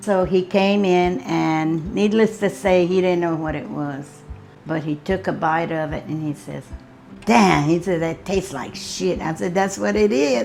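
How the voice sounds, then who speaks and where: A woman with a Southern US accent, fairly low in pitch, lively in intonation and fairly slow in pace, with music in the background. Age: 70s. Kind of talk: interview answer.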